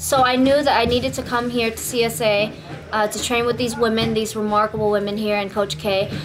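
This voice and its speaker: Audible room echo and noticeable background noise surround this recording. A woman with a fairly high pitch speaks with fairly even intonation. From Vietnam, raised from age 8 in East Oakland, California. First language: Vietnamese. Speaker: Muay Thai and MMA fighter. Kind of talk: event promotion; interview testimony. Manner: casual, halting with repetitions.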